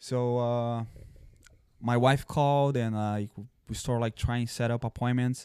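Speaking in a Brazilian accent, a man uses a dark, mellow tone at medium pitch with monotone, flat intonation, a moderate pace and long, frequent pauses, in a very clean recording with a silent background. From southern Brazil. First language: Portuguese. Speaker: former police officer and army veteran. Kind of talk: casual chat.

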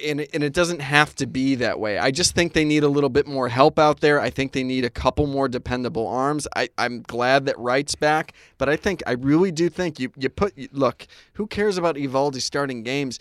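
A man with an American accent speaks in an ordinary speaking voice, fairly high for a man, at a fairly quick pace with hardly any pauses and ordinary pitch variation. The recording is very clean with a silent background and a dry, close sound with no echo. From Connecticut. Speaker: sports podcast co-host. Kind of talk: casual chat.

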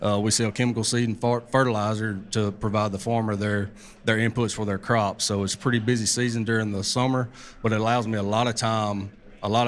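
Speaking with an Arkansas accent, a man delivers his words in a flat monotone. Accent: Southern US (Arkansas). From US South, Arkansas. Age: 30s. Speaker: bowhunter. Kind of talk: live talk at a hunting expo. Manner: halting, many repeats and fillers.

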